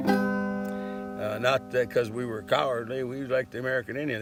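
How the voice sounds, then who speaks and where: A man at a moderate pace over music in the background. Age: 70s. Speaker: vlogger with ALS. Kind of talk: monologue. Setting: outdoors. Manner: halting.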